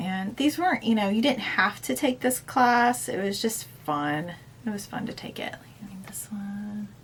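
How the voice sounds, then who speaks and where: At a fairly slow pace and medium pitch, a woman speaks in a plain, everyday voice. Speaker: cross-stitch video blogger. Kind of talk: casual chat.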